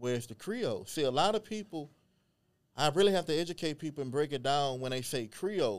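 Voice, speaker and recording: A man with a plain, everyday voice speaks with an American accent. His fairly high pitch moves with lively intonation at a fairly quick pace. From Beaumont, Texas. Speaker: genealogist and historian. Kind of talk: casual interview chat.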